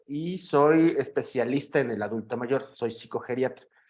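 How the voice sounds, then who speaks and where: A man's fairly high-pitched voice with a Mexican accent. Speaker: psychiatrist. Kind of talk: lecture. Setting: video call. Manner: halting with fillers.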